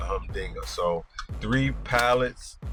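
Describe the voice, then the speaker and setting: A man speaking with music in the background. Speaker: independent delivery van driver. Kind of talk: casual vlog talk to camera. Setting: in a van on the road.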